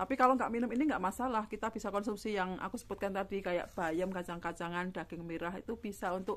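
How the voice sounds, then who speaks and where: Woman's voice of medium pitch with ordinary pitch variation and a fairly quick pace, on a very clean recording with a silent background. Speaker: stroke survivor vlogger. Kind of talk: casual vlog answering viewer comment. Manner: halting, with many fillers.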